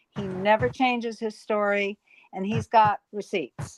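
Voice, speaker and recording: Music plays in the background as a woman speaks fairly slowly in a fairly high pitch with ordinary pitch variation, the sound dry and close with no echo. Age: 70s. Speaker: live stream panel host. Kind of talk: casual chat.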